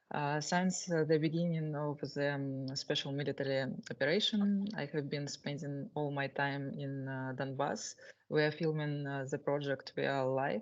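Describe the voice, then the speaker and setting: This is a woman speaking in a Russian accent. Her pitch is very deep and low. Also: ordinary pitch variation, moderate pace. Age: 20s. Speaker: war correspondent. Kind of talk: self-introduction at a meeting. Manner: halting, many fillers.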